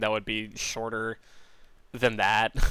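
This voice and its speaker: His tone comes across bright and sharp. The man talks at a moderate speed. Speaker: animator commenting on own cartoon. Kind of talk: commentary track. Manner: slurred articulation; halting, many fillers.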